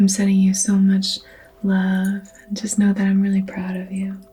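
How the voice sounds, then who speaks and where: A soft-spoken woman talks at a medium pitch with music playing in the background. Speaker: reiki practitioner ASMR creator. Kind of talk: reiki healing session, personal attention roleplay. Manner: soft-spoken, gentle, supportive.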